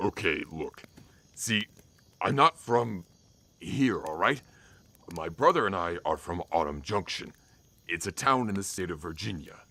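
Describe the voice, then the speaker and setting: A man puts on a character voice with very deep, low pitch. He talks at a moderate pace with long, frequent pauses. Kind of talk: audio drama. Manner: panicked, stammering.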